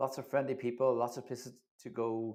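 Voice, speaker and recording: There is a man with a Northern Irish accent on a very clean recording with a silent background. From Northern Ireland. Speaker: livestream host, Eurovision fan channel. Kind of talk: live reaction stream chat.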